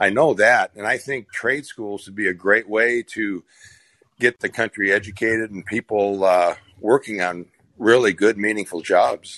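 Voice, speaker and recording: A man with an American accent speaks in a bright, sharp tone with fairly even intonation and big swings in loudness. The recording is dry and close with no echo, over a quiet background. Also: fairly low pitch for a man, moderate pace. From Minnesota, small town. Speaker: regular caller. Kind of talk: casual discussion. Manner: repetitive, halting.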